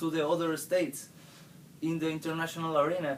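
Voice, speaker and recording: A man is speaking. He has a Spanish accent. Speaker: university student. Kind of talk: class presentation. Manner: halting.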